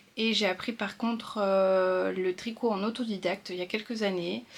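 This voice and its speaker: A woman speaks at a fairly slow pace. Her voice sits at medium pitch with ordinary pitch variation. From northern France. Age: 30s. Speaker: sewing and knitting vlogger. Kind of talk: casual vlog talk. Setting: at home. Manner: hesitant, many fillers.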